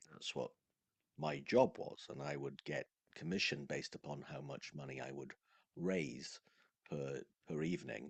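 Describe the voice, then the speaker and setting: Very deep and low with vocal fry, a man's voice moves at a moderate pace with ordinary pitch variation and long, frequent pauses, recorded dry and close with no echo. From Wales. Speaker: sales coach. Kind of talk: casual conversation.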